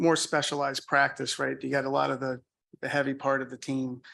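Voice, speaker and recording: In a quiet background, a man speaks with a slight Boston accent. His fairly high voice has a bright, sharp tone. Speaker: audit firm presenter. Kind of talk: answering questions in a meeting; business presentation. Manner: hesitant, many fillers.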